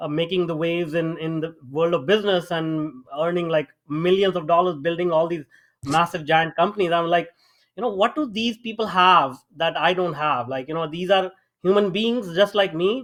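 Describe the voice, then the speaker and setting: A man speaks at a moderate pace with an Indian accent, his pitch high and its variation ordinary. The recording is very clean, with a silent background. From small town in India. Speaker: AI startup founder and mentor. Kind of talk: interview. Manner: hesitant, many fillers.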